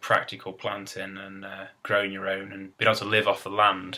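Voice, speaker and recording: The speaker is a man with an East Midlands accent and a fairly low pitch. His tone is bright and sharp. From England, Derbyshire (East Midlands). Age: 20s. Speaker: gardener, video blogger. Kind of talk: casual vlog monologue. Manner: halting, with fillers.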